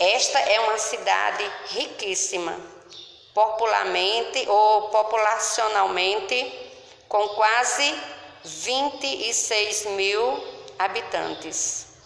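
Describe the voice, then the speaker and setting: At a very slow pace, a woman speaks in a fairly high voice, with noticeable background noise and audible room echo. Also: ordinary pitch variation. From Paraíba, Brazil (grew up in São Bento). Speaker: local presenter of her/his hometown. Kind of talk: scripted narration.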